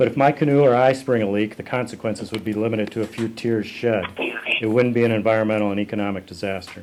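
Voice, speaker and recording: Speaking very fast in an American accent with hardly any pauses, this voice keeps a fairly even intonation over noticeable background noise. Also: man, medium pitch for a man. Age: 60s. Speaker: canoeist and activist. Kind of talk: prepared speech. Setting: press conference.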